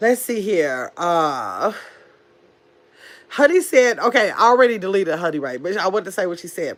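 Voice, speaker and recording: Recorded very cleanly against a silent background, a woman with a fairly high pitch and vocal fry speaks at a fairly slow pace, her pitch swinging very widely. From Milwaukee, Wisconsin. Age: 50s. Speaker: YouTube livestreamer. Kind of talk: casual livestream chat. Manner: animated.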